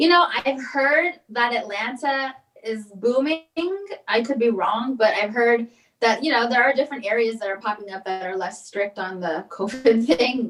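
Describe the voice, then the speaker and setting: Speaking in a Californian accent, a woman keeps a moderate pace at a fairly high pitch with ordinary pitch variation. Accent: Californian American. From Los Angeles. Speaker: comedian and actress. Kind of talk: casual interview chat. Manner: animated, opinionated.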